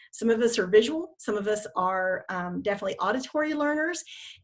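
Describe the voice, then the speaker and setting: A woman speaks with lively intonation at medium pitch. Her voice is somewhat breathy. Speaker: network marketing team leader. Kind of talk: team training call. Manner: fast.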